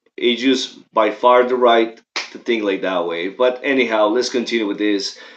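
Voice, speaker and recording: A man speaking at a fairly slow pace in a strong Mexican accent. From Mexico. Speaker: political commentator. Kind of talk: livestream commentary. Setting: livestream. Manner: casual, halting.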